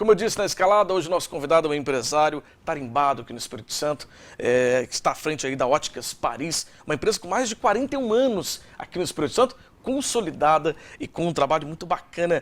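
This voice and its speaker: A man talks very fast at a fairly high pitch. His pitch swings very widely and his loudness varies a lot. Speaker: TV show host. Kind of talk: TV interview.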